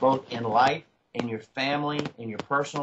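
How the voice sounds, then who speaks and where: The voice has an American accent and fairly even intonation. It is a normal speaking voice. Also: man. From Virginia, United States. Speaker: auctioneer, convention speaker. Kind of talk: interview answer.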